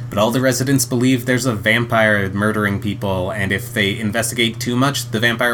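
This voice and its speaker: Speaking at a fairly quick pace with hardly any pauses, a man of medium pitch keeps a monotone, flat intonation over noticeable background noise. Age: 30s. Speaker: podcast co-host. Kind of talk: casual chat; summarizing plots. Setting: home recording with partner.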